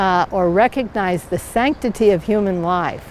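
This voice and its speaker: Her pace very slow, a woman speaks with ordinary pitch variation. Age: 80s+. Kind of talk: interview testimony. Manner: hesitant, many fillers.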